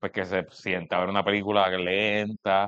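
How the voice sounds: A man speaks with a low pitch, little pitch movement, and a clear, smooth tone. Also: moderate pace.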